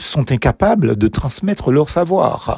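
A man talks very slowly in a dark, mellow tone with vocal fry and very wide pitch swings. The sound is dry and close with no echo. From Martinique. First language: Martinican Creole (speaking French). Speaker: preacher. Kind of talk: devotional meditation.

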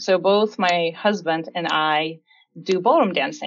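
Against a quiet background, a woman with a Russian accent speaks at a very slow pace with a medium pitch and ordinary pitch variation. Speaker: security research engineer. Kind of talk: interview.

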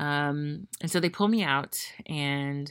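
Recorded very cleanly against a silent background, a woman with an American accent speaks in a very deep, low voice. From Memphis, Tennessee, US South. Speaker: podcast host. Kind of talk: solo monologue. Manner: casual with fillers.

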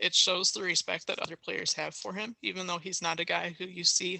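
A woman speaks with an American accent and vocal fry. Her pitch is fairly low. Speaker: soccer podcast co-host. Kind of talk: casual chat.

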